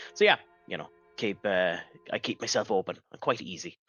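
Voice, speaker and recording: This is a man speaking with an Irish accent. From Ireland. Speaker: streamer. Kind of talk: casual chat. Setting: live stream.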